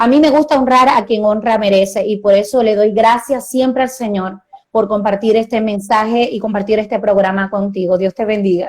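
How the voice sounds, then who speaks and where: A woman speaks at a moderate pace with hardly any pauses. Her intonation is fairly even. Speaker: pastor. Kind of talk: sermon.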